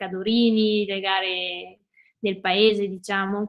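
A woman speaks very slowly over a quiet background. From Veneto, Italy (Cadore, Dolomites). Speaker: ultra trail runner and ski mountaineer. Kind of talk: interview. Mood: relaxed, friendly. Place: home room. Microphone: video call.

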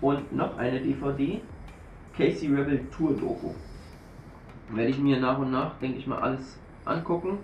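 The speech moves at a fairly slow pace, with audible room echo and faint music in the background. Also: man. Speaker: YouTuber, shisha reviewer. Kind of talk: unboxing video. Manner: casual, informal. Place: home room. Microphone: camera far.

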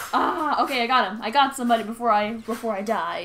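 Noticeable noise sits in the background as a woman talks with a fairly high pitch. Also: ordinary pitch variation. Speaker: game streamer. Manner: fast talker.

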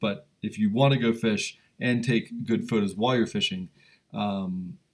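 A man with very wide pitch swings against a quiet background. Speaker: livestream host. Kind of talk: casual live stream chat reading comments. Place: home room. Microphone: webcam.

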